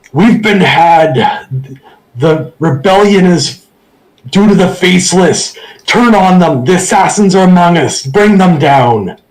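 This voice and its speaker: In a put-on character voice pitched high for a man, he bellows at a fairly slow pace. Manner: bellowing.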